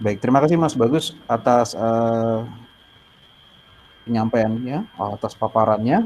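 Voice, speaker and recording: Very slowly, a man speaks in a dark, mellow tone. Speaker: moderator of student webinar. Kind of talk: moderated online discussion. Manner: hesitant with fillers.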